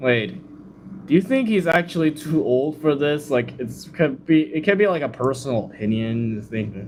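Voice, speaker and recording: A man with a fairly high pitch speaks with lively intonation. Noticeable background noise runs behind him. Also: moderate pace. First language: not English. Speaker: livestreamer reacting to videos. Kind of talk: casual livestream reaction commentary. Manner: casual, filler-heavy.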